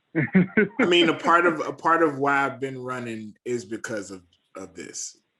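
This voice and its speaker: In an American accent, a man speaks at a fairly high pitch with a bright, sharp tone, lively intonation and big swings in loudness. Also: fairly slow pace. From Georgia, US South. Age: 30s. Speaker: podcast host. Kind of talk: casual chat.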